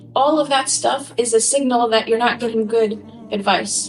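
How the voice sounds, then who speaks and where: The speaker's intonation is fairly even. Music plays in the background, and there is audible room echo. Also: woman. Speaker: lecturer. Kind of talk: lecture. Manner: fast.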